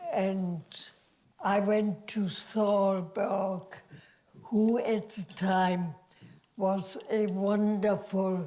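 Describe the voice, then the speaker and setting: A woman speaks with a German accent. Her pace is very slow. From Germany. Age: 80s+. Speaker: actress. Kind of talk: interview answer.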